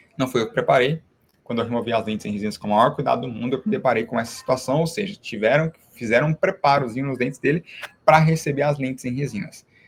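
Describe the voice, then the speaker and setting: A man with a medium pitch talks at a very fast pace, somewhat breathy, with ordinary pitch variation. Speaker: dentist teaching other dentists. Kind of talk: online live class. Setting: live stream.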